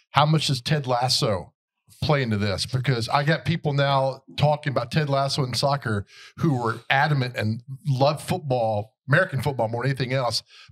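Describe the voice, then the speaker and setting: Somewhat breathy speech at a moderate pace, with ordinary pitch variation, comes through a very clean recording with a silent background. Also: man, medium pitch for a man. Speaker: podcast host. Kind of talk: casual chat. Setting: hotel venue.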